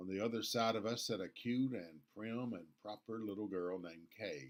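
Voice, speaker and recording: A man with an American accent, medium pitch and moderate pace. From US South, Nashville, Tennessee. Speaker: pastor. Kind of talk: devotional talk.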